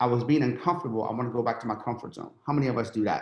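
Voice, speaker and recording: Speaking fairly quickly, a man keeps a medium pitch and ordinary pitch variation. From Iran, raised in western Pennsylvania from childhood. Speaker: entrepreneur. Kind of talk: podcast interview storytelling. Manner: animated.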